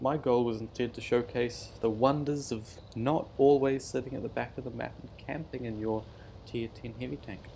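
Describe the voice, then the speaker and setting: A man with a New Zealand accent, dark and mellow in tone, medium in pitch, at a moderate pace with big swings in loudness. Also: fairly even intonation. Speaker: gaming YouTuber. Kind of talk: gameplay commentary. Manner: casual, self-deprecating with hesitations.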